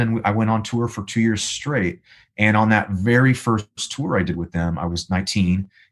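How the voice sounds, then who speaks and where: Against a quiet background, a man with an American accent talks at a moderate pace with fairly even intonation. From Los Angeles, US. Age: 30s. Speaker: musician and voice actor. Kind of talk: casual interview chat.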